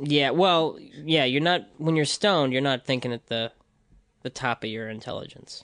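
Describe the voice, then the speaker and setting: A plain, everyday voice with an American accent, moderate pace and ordinary pitch variation, in a dry, close sound with no echo and a quiet background. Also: man, fairly high pitch for a man. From US Midwest, Libertyville, Illinois. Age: 30s. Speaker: rapper and animator. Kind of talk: casual chat.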